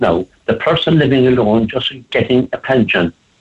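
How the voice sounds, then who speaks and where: This is a man's voice. He speaks with an Irish accent. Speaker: advocate for elderly people. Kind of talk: radio interview. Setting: phone call.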